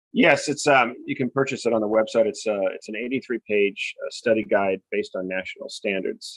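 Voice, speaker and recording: A fairly quick man with an American accent, hardly pausing at all. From US West Coast, Newport Beach, California. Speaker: novelist. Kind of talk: podcast interview.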